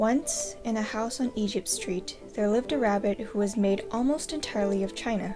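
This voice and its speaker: Music plays in the background as a woman of medium pitch speaks at a moderate pace with ordinary pitch variation. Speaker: storyteller reading aloud. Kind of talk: children's book read aloud.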